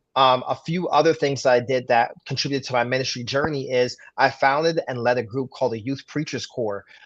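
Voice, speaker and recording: A man with a medium-pitched voice speaks at a fairly quick pace. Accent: New York. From Brooklyn, New York. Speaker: pastor. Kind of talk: interview.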